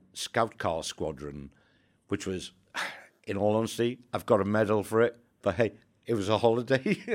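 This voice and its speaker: A Welsh accent on a very clean recording with a silent background. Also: man. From Wales. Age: 60s. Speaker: former army undercover agent. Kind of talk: interview storytelling.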